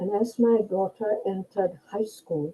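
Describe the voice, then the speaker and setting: This woman speaks at a fairly slow pace in a somewhat breathy, medium-pitched voice with ordinary pitch variation. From India. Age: 80s+. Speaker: retiree. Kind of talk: interview answer.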